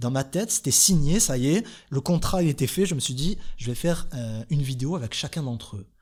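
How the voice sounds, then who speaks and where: At a fairly quick pace, a man with a fairly high pitch and a somewhat breathy voice makes very wide pitch swings, on a very clean recording with a silent background. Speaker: YouTuber. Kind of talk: podcast monologue. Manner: calm.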